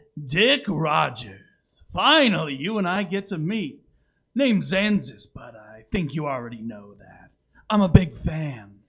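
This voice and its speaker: A put-on character voice at a fairly slow pace. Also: man, fairly high pitch for a man. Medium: audio drama. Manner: smug, self-satisfied, showman-like.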